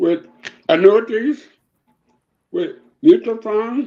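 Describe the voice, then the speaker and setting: A man talks at an extremely high pitch and a very slow pace. His pitch swings very widely. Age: 80s+. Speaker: retired educator and civil rights activist. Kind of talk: interview. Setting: live stream.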